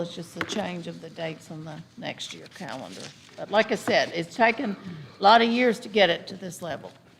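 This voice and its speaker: Over noticeable background noise, the speech moves at a fairly quick pace with ordinary pitch variation and big swings in loudness. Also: woman. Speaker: school superintendent. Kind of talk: board meeting discussion. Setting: school board meeting room. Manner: halting, with many fillers.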